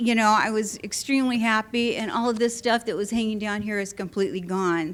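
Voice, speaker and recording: A woman speaks at a moderate pace in a fairly high pitch. There is noticeable background noise. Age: 70s. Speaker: surgery patient giving a testimonial. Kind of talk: testimony. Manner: animated.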